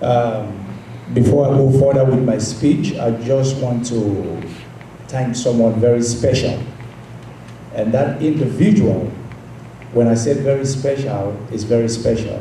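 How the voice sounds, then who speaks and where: With long, frequent pauses, a man talks at a fairly slow pace and fairly even intonation, amid noticeable background noise and audible room echo. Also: medium pitch for a man. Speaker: political youth wing leader. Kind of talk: conference speech. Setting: stage with audience.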